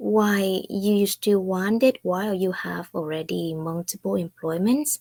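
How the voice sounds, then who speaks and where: Recorded dry and close with no echo, a woman with a Vietnamese accent talks at a medium pitch with ordinary pitch variation and hardly any pauses. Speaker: online business owner. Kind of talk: casual talk to camera.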